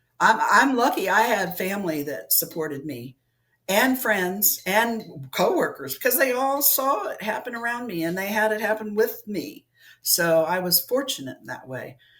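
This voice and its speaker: There's vocal fry in this woman's fairly high voice. She speaks at a moderate pace with very wide pitch swings. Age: 60s. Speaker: alien abduction experiencer. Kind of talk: interview.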